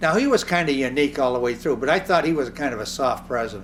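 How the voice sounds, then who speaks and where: Lively, fairly high male voice over music in the background. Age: 80s+. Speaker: inventor and physician, aviator. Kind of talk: interview.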